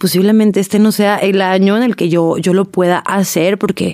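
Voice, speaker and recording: A woman talks in a normal speaking voice at a moderate pace, her intonation fairly even. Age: 20s. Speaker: podcast host. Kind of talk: casual monologue.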